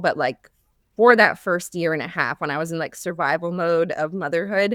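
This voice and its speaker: A woman speaks at a moderate pace with a fairly low pitch in a normal speaking voice, the sound dry and close with no echo. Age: 30s. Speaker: former teacher turned business coach for moms. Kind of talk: podcast interview. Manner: casual, many fillers like 'like'.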